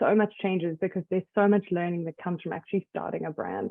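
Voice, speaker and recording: With a South African accent, a woman speaks at a moderate pace. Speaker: skincare brand founder. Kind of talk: interview.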